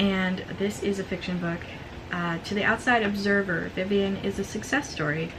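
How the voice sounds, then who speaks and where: A woman talks at a moderate pace in a medium pitch. Noticeable background noise and audible room echo surround her voice. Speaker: book youtuber. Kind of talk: casual book haul video with blurbs read aloud. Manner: excited, occasional stammering; reading aloud from book blurbs.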